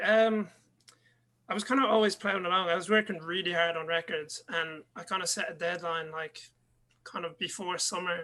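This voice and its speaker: At a moderate pace, a man with an Irish accent talks in a raised, projected voice with ordinary pitch variation. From Ireland. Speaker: DJ and music producer. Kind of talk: interview.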